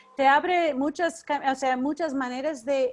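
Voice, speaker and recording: A fairly slow woman's voice, high in pitch, with ordinary pitch variation. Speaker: educator leading a teacher workshop. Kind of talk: online workshop.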